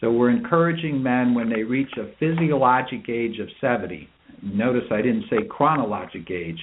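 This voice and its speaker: Using a plain, everyday voice, a man talks at a moderate pace and a medium pitch with lively intonation. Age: 60s. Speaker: urologist. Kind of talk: interview.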